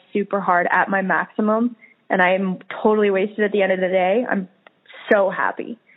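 A woman's plain, everyday voice, medium in pitch, with an American accent. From Colorado, US. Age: 20s. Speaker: professional climber. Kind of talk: interview.

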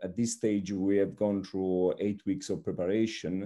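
A man with an Italian accent speaks in a dark, mellow tone and fairly even intonation against a quiet background. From Italy, Naples. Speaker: strength and conditioning coach. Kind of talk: interview. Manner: halting, many fillers.

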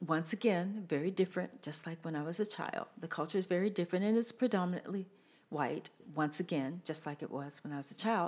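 Heard on a very clean recording with a silent background, a woman uses an ordinary speaking voice, fairly low in pitch with ordinary pitch variation. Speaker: singer and theater performer. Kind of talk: casual chat.

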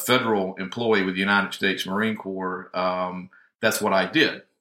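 Fairly low in pitch, a man speaks with a bright, sharp tone in a Southern US accent. The recording is very clean, with a silent background. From US South, northwest Georgia. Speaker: healthcare IT consultant. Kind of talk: interview.

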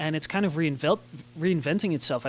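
With a normal speaking voice, a man talks at a fairly high pitch with ordinary pitch variation. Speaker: podcast host. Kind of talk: interview.

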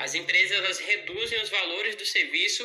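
Through noticeable background noise, a man speaks at a moderate pace in a raised, projected voice. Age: 20s. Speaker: home pet grooming entrepreneur. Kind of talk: pre-recorded audio contribution. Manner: articulate.

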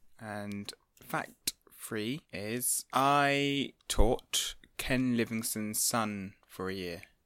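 A man's medium-pitched, bright, sharp voice, very slow, with ordinary pitch variation and big swings in loudness, on a very clean recording with a silent background. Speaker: author. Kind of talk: casual chat.

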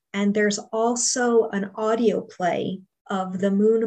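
A woman's medium-pitched, monotone, flat delivery at a very slow pace. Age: 40s. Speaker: book reviewer and podcaster. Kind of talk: casual interview.

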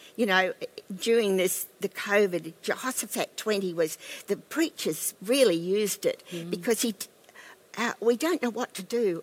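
An Australian accent at a moderate pace, with big swings in loudness. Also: woman. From Australia, Queensland. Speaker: pastor's wife and former missionary. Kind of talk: casual interview about faith.

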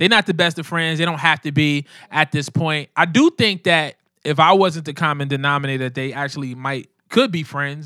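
A fairly high-pitched man with a Brooklyn accent, bright and sharp in tone, at a fairly quick pace. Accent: New York, Brooklyn. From New York City, Brooklyn (Coney Island). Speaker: rapper. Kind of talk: casual interview.

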